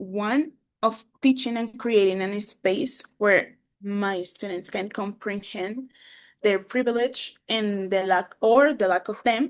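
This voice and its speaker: A woman speaks with a Colombian accent and a fairly high pitch. Her pace is very slow, over a quiet background. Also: ordinary pitch variation. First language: Spanish. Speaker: English teacher. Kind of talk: conference presentation. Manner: halting.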